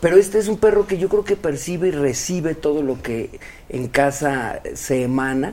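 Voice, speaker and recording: With a Mexican accent, a man speaks at a moderate pace in a fairly high, dark, mellow voice with lively intonation. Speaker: actor. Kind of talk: casual interview.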